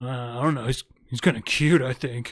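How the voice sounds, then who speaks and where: A raspy, put-on character voice from a man, medium in pitch, with fairly even intonation at a moderate pace. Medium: actual play.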